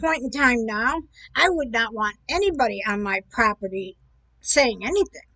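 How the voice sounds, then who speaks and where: Her delivery is fairly slow. The voice is a woman's. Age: 60s. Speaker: video commentator. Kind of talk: casual commentary monologue. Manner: rambling, hesitant with fillers.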